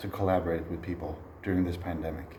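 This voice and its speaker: A man is speaking. Noticeable background noise and audible room echo surround him. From Sweden. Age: 30s. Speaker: jazz trombonist and music educator. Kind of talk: recorded online masterclass.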